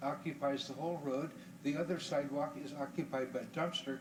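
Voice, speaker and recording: A man talks at a fairly quick pace with an American accent and a fairly high pitch. Audible room echo and noticeable background noise fill the recording. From Florida, Tampa. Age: 60s. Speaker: public commenter at city council. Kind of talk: public comment. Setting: city council meeting.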